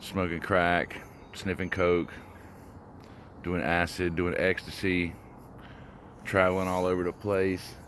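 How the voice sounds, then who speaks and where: Using a very deep, low pitch and monotone, flat intonation, a man speaks at a fairly slow pace with long, frequent pauses. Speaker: vlogger on a walking challenge. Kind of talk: personal testimony vlog. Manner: halting, many pauses and fillers.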